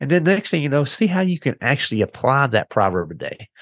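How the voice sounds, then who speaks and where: Dry and close with no echo against a quiet background, a man speaks at medium pitch with vocal fry. He talks at a fairly quick pace, his pitch swinging very widely. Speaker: engineering manager and podcast host. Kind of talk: interview.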